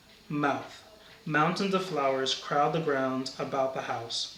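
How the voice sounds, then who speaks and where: A man with an American accent at a very slow pace, over noticeable background noise. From Brooklyn, New York. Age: 30s. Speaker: university campus minister. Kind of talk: reading accent word list sentences.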